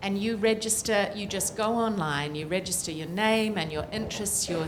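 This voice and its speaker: A woman with a New Zealand accent, medium pitch and ordinary pitch variation, at a moderate pace, amid noticeable background noise and audible room echo. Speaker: political scientist, climate report author. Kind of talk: panel discussion.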